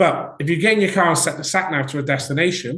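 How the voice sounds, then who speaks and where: A man speaks with a Welsh accent. He talks at a fairly quick pace. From Wales. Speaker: business coach. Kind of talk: webinar presentation. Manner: conversational, with filler words.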